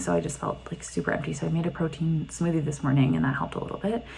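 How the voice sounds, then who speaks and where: Amid noticeable background noise, a woman whispers at a very fast pace. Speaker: vlogger. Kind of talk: video diary. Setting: in a car. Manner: casual, filler-heavy; whispering.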